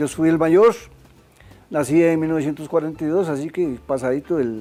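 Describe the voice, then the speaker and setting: A man speaks at a moderate pace in a fairly high pitch. His tone is dark and mellow, with ordinary pitch variation. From Costa Rica, Zarcero (Alajuela). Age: 80s+. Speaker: craftsman and musician. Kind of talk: interview. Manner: halting, with fillers and repetitions.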